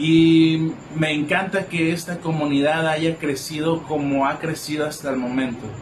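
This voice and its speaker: A man with a fairly high pitch speaks at a fairly slow pace with fairly even intonation. Audible room echo and noticeable background noise surround him. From Mexico, Colima. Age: 20s. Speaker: psychologist. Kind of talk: live stream reflection talk. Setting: live video stream. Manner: halting.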